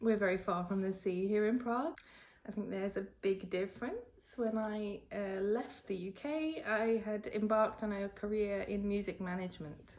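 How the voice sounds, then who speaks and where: The speaker has a British accent and ordinary pitch variation. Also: woman. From United Kingdom. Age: 30s. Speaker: freelance translator and editor. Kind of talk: interview answer.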